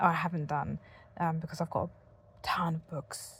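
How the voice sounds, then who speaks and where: In a very clean recording with a silent background, a woman speaks in a somewhat breathy voice. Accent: British. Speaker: content creator reviewing devices. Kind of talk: casual vlog talk. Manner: fed up, unenthusiastic.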